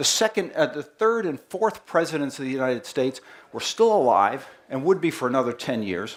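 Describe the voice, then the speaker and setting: In a strong Boston accent, this voice swings very widely in pitch. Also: man. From Boston, US. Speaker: company marketing head giving presentation. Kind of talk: presentation to live audience. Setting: festival stage with audience. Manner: animated.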